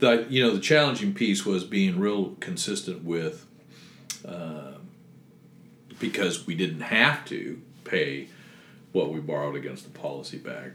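With audible room echo, a man speaks at a fairly slow pace in a very deep, low pitch, making very wide pitch swings and long, frequent pauses. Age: 60s. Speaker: retired teacher and business owner. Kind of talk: interview.

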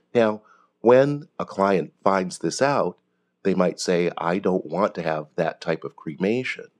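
In a dry, close sound with no echo, a man with an ordinary speaking voice talks at a fairly slow pace with a fairly low pitch and lively intonation. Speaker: pet cremation business owner. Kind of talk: interview, conversational.

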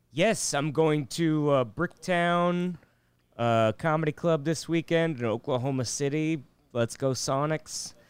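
An ordinary speaking voice with ordinary pitch variation and very even loudness moves at a fairly slow pace in a very clean recording with a silent background. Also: man, fairly high pitch for a man. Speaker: comedian. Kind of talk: casual chat.

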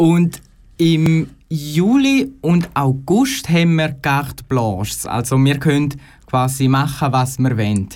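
In a Graubünden accent, a man talks at a very slow pace with a fairly high pitch, ordinary pitch variation and very even loudness. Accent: Graubünden Swiss German dialect. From Chur, Graubünden, Switzerland. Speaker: radio trainee. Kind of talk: radio interview.

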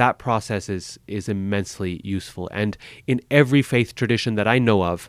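An ordinary speaking voice from a man, fairly low-pitched with ordinary pitch variation, in a dry, close sound with no echo. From US, Boise, Idaho. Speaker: religious studies professor. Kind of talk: interview.

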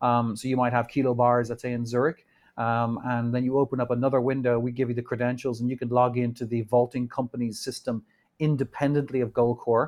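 In an Irish accent, a man of medium pitch talks fairly quickly with flat, monotone intonation. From Ireland. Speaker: bullion company executive. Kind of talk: interview conversation. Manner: halting, many fillers.

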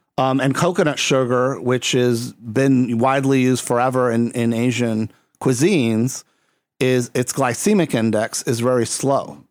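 A man speaks in an ordinary speaking voice at medium pitch, with ordinary pitch variation and very even loudness. His pace is moderate, and the recording is very clean with a silent background. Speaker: podcast host. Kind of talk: casual chat.

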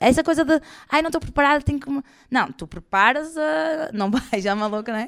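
At a moderate pace, the voice sounds bright, sharp and animated, with very wide pitch swings, on a very clean recording with a silent background. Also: woman. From northern Portugal, Porto area. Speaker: comedian. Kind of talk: live interview before audience. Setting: stage with audience.

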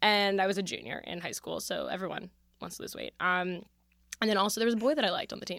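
A woman with an American accent talks at a very fast pace, her medium pitch carrying ordinary variation and vocal fry. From Philadelphia. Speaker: comedian. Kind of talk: casual chat.

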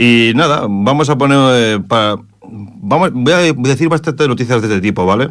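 This man has a normal speaking voice at a medium pitch, with lively intonation. He keeps a moderate pace and very even loudness. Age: 40s. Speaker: radio host. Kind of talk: casual radio commentary.

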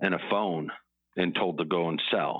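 A man's very deep, low voice with an American accent, monotone and flat, at a fairly slow pace. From Chicago, US Midwest. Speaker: fintech founder and CEO. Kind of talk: interview.

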